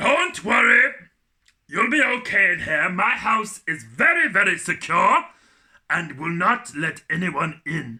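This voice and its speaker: Delivered fairly slowly, the speech is a put-on character voice. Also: man, high pitch for a man. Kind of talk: children's storytime acting. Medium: read story.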